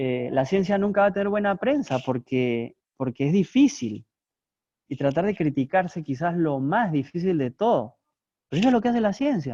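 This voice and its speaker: Pitched high for a man, his voice has a dark, mellow tone. He moves at a moderate pace with very wide pitch swings. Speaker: philosophy professor. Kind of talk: lecture.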